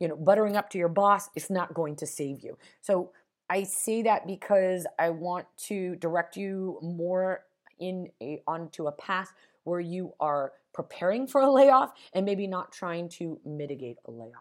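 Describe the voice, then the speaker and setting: A woman with a General American accent, medium pitch and a normal speaking voice talks at a fairly slow pace with lively intonation. Her loudness swings widely, and the recording is very clean with a silent background. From Las Vegas, Nevada, US. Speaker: podcast host, career coach. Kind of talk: solo podcast monologue, advice.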